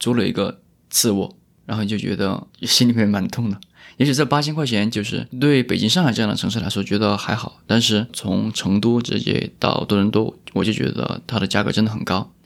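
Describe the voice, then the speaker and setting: On a very clean recording with a silent background, a man with a normal speaking voice talks at a fairly quick pace, his pitch fairly low and its variation ordinary. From Chongqing (Wanzhou). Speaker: podcast host. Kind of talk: casual chat. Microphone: new microphone.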